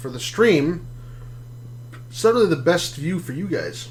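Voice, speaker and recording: Mumbling from a man with a fairly high pitch and lively intonation, at a fairly quick pace, with audible room echo and noticeable background noise. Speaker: gaming streamer. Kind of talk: live gameplay commentary. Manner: casual, halting.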